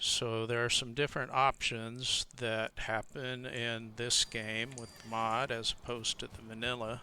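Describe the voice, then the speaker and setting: In a very clean recording with a silent background, a man talks at a fairly slow pace in a medium pitch with a bright, sharp tone. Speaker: gaming video creator and server admin. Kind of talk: gameplay tutorial. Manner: soft-spoken; hesitant, with fillers.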